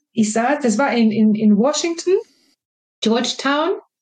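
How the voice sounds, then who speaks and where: With a Swedish accent, a woman speaks at a moderate pace in a high pitch. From Sweden. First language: Swedish (speaking German). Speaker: marketing and innovation professional. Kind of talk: interview. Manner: hesitant, many fillers.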